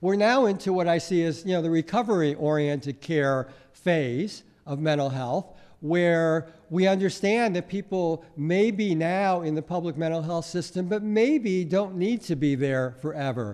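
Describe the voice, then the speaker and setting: With a quiet background, a man talks at a high pitch and moderate pace, his pitch varying in an ordinary way. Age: 60s. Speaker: mental health policy advocate. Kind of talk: conference presentation. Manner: hesitant with frequent fillers.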